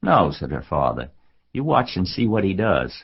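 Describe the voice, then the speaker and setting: A man's voice carries vocal fry and very wide pitch swings as he goes at a moderate pace. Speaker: audiobook narrator. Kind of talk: children's audiobook narration.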